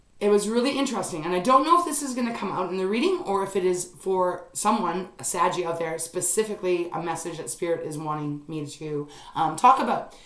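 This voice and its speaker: The speech moves at a fairly quick pace with lively intonation. Noticeable background noise and audible room echo surround it. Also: woman. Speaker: tarot reader. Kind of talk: tarot reading monologue. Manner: fast; hesitant, many fillers.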